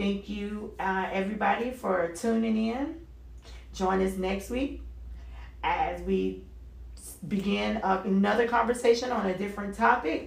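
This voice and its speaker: A woman's animated tone at a fairly slow pace, with long, frequent pauses and audible room echo. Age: 40s. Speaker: radio talk show host. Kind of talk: solo talk radio monologue.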